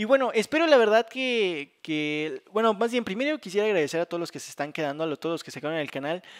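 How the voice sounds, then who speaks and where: Speaking at a very fast pace with hardly any pauses, a man in a Mexican accent uses a high voice with very wide pitch swings and big swings in loudness, the sound dry and close with no echo. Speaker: gaming youtuber. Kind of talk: casual gameplay commentary.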